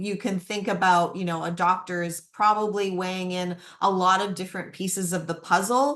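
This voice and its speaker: Speaking in an ordinary speaking voice at medium pitch, the woman keeps a moderate pace with fairly even intonation. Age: 50s. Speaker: menopause educator and webinar host. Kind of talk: webinar Q&A. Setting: online webinar.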